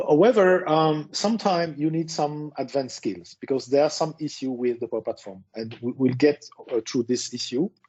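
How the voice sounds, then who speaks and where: Speaking with a French accent, a man uses a fairly high pitch and lively intonation. He keeps a moderate pace with hardly any pauses. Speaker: tech speaker. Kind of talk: presentation.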